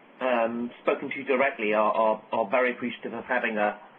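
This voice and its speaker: Over noticeable background noise, a man with an American accent talks at a fairly quick pace. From UK. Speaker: software architect. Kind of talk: technical webcast presentation. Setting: conference call webcast.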